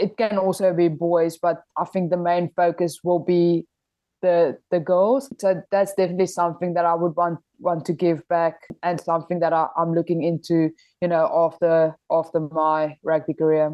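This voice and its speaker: In a South African accent, a woman speaks at a moderate pace with a fairly low pitch and fairly even intonation. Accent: Afrikaans South African English. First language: Afrikaans. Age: 20s. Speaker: rugby player. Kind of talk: interview.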